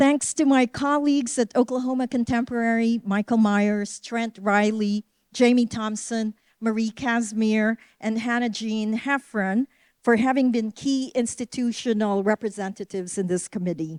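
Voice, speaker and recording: At a moderate pace, a woman with a Filipino accent speaks in a fairly high voice with fairly even intonation, the sound dry and close with no echo. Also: very clean recording, silent background. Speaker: museum curator. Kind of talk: formal closing remarks and acknowledgments. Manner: formal.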